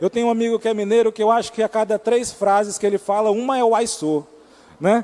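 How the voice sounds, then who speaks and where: The voice is a man's, high-pitched, with an Amazonas accent. The sound is dry and close, with no echo. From Amazonas, Brazil. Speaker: preacher. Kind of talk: sermon.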